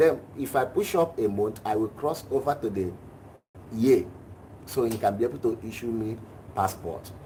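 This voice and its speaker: A man of medium pitch speaks at a moderate pace with a dark, mellow tone, a somewhat breathy quality and ordinary pitch variation. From Nigeria. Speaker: class participant asking a question. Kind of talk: personal question in a live class.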